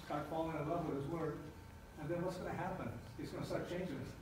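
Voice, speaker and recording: A man speaks at a high pitch with fairly even intonation. Noticeable background noise and audible room echo are present. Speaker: pastor / church planter. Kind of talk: sermon. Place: church.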